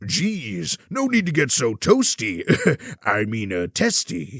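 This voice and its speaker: Someone performs a put-on character voice in a dry, close recording with no echo. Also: man, medium pitch for a man, fairly slow pace. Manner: hesitant, casual.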